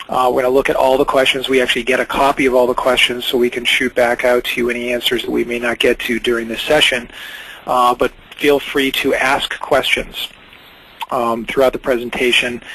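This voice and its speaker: A man speaks at a fairly quick pace with monotone, flat intonation over noticeable background noise. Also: medium pitch for a man. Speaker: webinar host, company founder. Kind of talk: webinar presentation. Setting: online webinar. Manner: fast; hesitant with many fillers.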